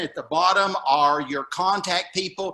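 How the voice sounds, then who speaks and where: With a Southern US accent, a man speaks in a high pitch at a fairly slow pace, his intonation fairly even. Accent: Southern drawl. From Alabama. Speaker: retired teacher, local association president. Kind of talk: presentation at a summit. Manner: halting.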